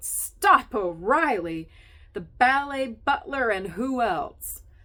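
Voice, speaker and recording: A female-sounding put-on character voice bellows in a raised, projected voice at a high pitch, moving at a very slow pace with very wide pitch swings. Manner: roaring, vulgar.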